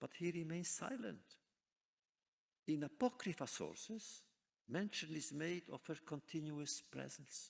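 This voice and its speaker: Speaking at a fairly slow pace, the man has a fairly high pitch and some vocal fry. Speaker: author, scholar, lecturer. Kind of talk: scholarly lecture.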